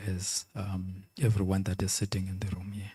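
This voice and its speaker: A man speaks at a moderate pace in a fairly low pitch, with a dark, mellow, somewhat breathy tone and monotone, flat intonation. The sound is dry and close with no echo, in a very clean recording with a silent background. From South Africa. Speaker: conference speaker, financial regulator. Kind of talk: conference Q&A answer.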